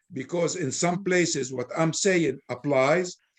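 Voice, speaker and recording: With an Arabic accent, the speaker uses ordinary pitch variation. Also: man. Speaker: Islamic scholar speaker. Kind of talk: Q&A discussion.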